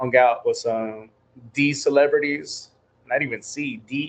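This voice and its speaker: In a Spanish accent, a man speaks at a medium pitch. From New Mexico, US. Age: 40s. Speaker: church communications director, former music industry intern. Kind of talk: casual interview chat. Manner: casual, animated.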